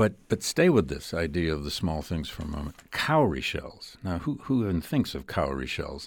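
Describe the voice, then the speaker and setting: A man with an American accent and a very deep, low pitch speaks with vocal fry and lively intonation at a moderate pace, leaving hardly any pauses, in a very clean recording with a silent background. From US Midwest, Flint, Michigan. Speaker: history professor and podcast host. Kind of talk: interview. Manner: hesitant, with fillers.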